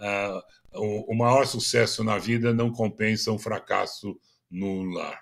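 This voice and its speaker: Speaking at a very slow pace, a man talks in a fairly low pitch with monotone, flat intonation. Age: 80s+. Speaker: business consultant and speaker. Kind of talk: interview. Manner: halting, many fillers.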